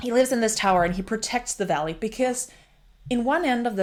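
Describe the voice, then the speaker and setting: A woman talks with a Danish accent. Her tone is animated. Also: very clean recording, silent background. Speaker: book reviewer. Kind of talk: casual book review monologue.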